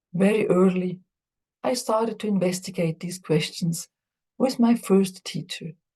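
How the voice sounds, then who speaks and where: At a fairly slow pace, a woman talks in a dark, mellow, somewhat breathy tone of medium pitch, with ordinary pitch variation. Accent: non-native. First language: not English. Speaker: Buddhist teacher and psychologist. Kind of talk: lecture.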